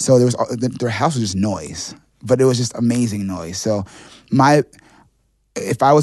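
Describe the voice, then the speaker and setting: This man talks with an American accent. His pace is fairly quick, with ordinary pitch variation. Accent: New York, with occasional Jamaican inflection. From New York City. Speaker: songwriter. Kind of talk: casual interview chat.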